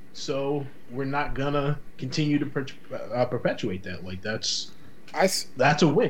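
This man has an American accent, a fairly high pitch and vocal fry, speaking at a very slow pace with lively intonation. The room echo is audible. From Boston, Massachusetts. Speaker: podcast guest. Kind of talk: casual chat.

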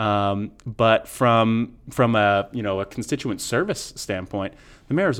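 A man with an American accent and a normal speaking voice, medium in pitch, at a fairly slow pace against a quiet background. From Portland, Maine, US. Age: 30s. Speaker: city councilor and mayoral candidate. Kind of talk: political interview. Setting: studio.

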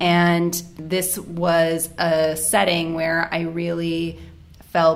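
In an American accent, a woman speaks at a fairly low pitch with monotone, flat intonation. Room echo is audible. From United States. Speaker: family doctor and medical editor. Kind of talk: casual chat.

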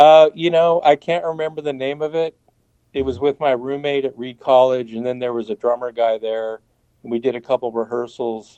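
A man with an American accent and a plain, everyday voice, medium in pitch with ordinary pitch variation, at a moderate pace. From Portland, Oregon, US. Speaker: guitarist, band founding member. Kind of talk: interview.

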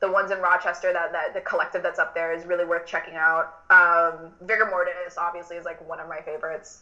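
With an American accent, a woman talks at a very fast pace with hardly any pauses, her fairly low pitch in a monotone, flat intonation and her loudness swinging widely over noticeable background noise. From Miami, Florida; Cuban American. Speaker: drag performer. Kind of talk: casual interview chat.

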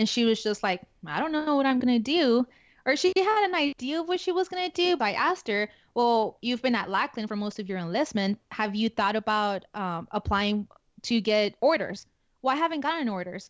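A woman with a Spanish accent talks at a fairly quick pace and fairly high pitch, her pitch swinging very widely. The sound is dry and close with no echo, over a quiet background. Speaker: active duty security forces NCO. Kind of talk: casual interview conversation.

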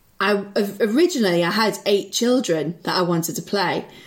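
A woman speaks with a Liverpool accent at a moderate pace. Her pitch varies in an ordinary way. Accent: Liverpool (Scouse). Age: 20s. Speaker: improviser. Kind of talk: casual chat. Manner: animated.

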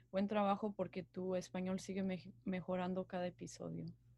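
On a very clean recording with a silent background, a woman speaks at a moderate pace and a medium pitch, somewhat breathy, in a monotone, flat intonation. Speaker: university student, podcast co-host. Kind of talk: casual chat.

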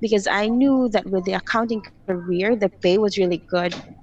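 Music plays in the background as a woman talks. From Philippines. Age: 30s. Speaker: creative director. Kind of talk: interview conversation.

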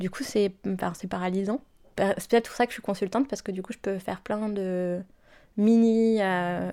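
Her intonation is fairly even and her pitch medium. This woman keeps a moderate pace. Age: 20s. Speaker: consultant. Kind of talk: testimony. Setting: at her home. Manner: halting.

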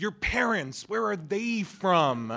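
On a very clean recording with a silent background, a man speaks at a fairly slow pace. His bright, sharp, animated voice swings very widely in pitch. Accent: General American. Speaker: improv comedian. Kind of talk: stand-up storytelling. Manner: animated, humorous.

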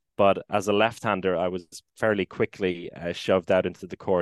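A man with an Irish accent speaks at a very deep, low pitch and a moderate pace. The background is quiet, and the sound is dry and close with no echo. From Ireland, Maynooth (Co. Kildare). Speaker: handball commentator and former player. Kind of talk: casual interview.

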